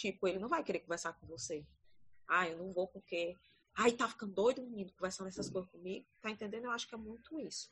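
Lively intonation in a woman's bright, sharp tone. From Ceará, Brazil (Paracuru). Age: 30s. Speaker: teacher. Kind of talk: casual chat.

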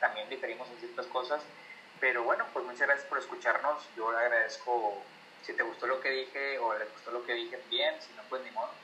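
Against noticeable background noise, a man speaks at a fairly quick pace with big swings in loudness. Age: 30s. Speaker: podcaster and university friend. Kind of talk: casual chat.

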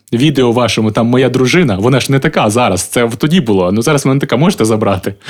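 This man talks very fast at a medium pitch, with very even loudness and hardly any pauses. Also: ordinary pitch variation. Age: 30s. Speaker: singer and former comedian. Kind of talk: casual chat.

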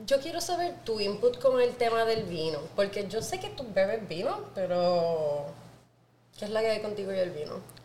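A woman speaks at a fairly slow pace in an animated tone with lively intonation, heard through audible room echo and noticeable background noise. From Puerto Rico, Naranjito (rural interior). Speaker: podcast host, wine professional. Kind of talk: casual chat.

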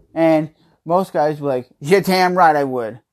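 Moderate pace and ordinary pitch variation, in a very clean recording with a silent background. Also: man. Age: 30s. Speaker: podcast host. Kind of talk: casual chat. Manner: laid-back.

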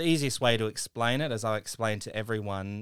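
A man's medium-pitched voice with an Australian accent, dry and close with no echo, on a very clean recording with a silent background. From regional South Australia (Mount Gambier). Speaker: former actor turned tech entrepreneur. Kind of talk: radio interview.

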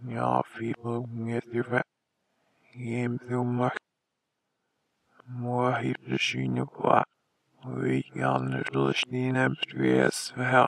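A put-on character voice speaks at a very slow pace. Long, frequent pauses break up the speech. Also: man. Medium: audio drama. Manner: broken, otherworldly speech.

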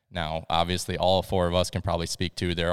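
On a very clean recording with a silent background, a man with an American accent talks at a fairly quick pace with a very deep, low pitch and monotone, flat intonation. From Iowa. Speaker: police officer. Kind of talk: casual chat.

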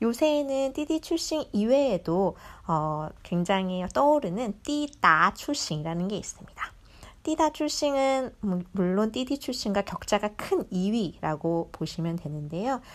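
The speech moves at a very slow pace, with very wide pitch swings. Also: woman, fairly high pitch for a woman. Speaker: digital marketer. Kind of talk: recorded monologue talk.

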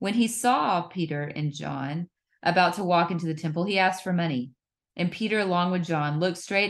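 This is an ordinary speaking voice, with ordinary pitch variation, moving along at a fairly quick pace. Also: woman, quiet background. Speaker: podcast co-host. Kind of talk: casual Bible study discussion.

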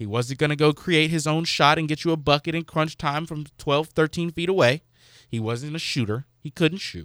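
On a very clean recording with a silent background and a dry, close sound with no echo, a man with a normal speaking voice and fairly high pitch speaks at a moderate pace with ordinary pitch variation. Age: 20s. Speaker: radio intern and fill-in host. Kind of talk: casual chat.

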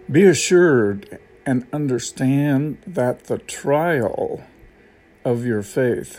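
Speaking very slowly with an American accent, a man uses a medium pitch, ordinary pitch variation and a dark, mellow tone. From United States. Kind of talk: devotional talk. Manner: casual, with many fillers.

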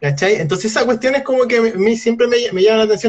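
The speaker has a Chilean accent and lively intonation. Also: man. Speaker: podcast co-host. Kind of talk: casual chat. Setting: live stream.

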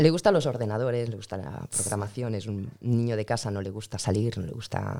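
At a fairly quick pace with hardly any pauses, a woman speaks in a very deep, low pitch and a dark, mellow tone, her pitch variation ordinary and her loudness swinging widely. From Spain. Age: 40s. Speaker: immigrant mother. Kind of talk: interview.

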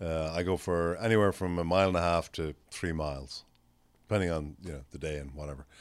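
A man with an Irish accent talks at a fairly quick pace in a very deep, low voice. His intonation is fairly even, and the recording is very clean with a silent background. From Ireland. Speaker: management consultant. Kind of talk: casual chat.

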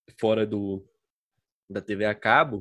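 A very clean recording of a man's voice, the background completely silent. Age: 20s. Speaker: podcaster and law graduate. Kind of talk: casual chat. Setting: home.

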